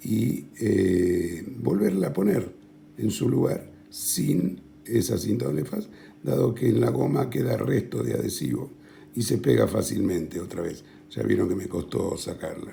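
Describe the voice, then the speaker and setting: Very deep and low, a man's voice with vocal fry swings very widely in pitch at a fairly slow pace, with audible room echo. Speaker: tech tutorial youtuber. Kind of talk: tutorial. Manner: soft-spoken; halting, many fillers.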